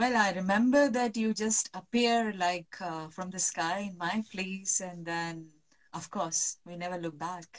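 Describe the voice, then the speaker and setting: Speaking at a very slow pace, a woman with a medium pitch uses ordinary pitch variation and big swings in loudness. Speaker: reiki and holistic healing practitioner. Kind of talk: live stream interview. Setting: online live video call from the mountains.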